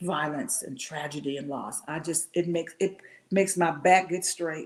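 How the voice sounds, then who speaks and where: A woman with an American accent speaks at a moderate pace in a fairly low pitch, her intonation fairly even while her loudness swings widely. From Washington D.C. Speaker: motivational speaker. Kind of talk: interview answer. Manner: emotional, emphatic.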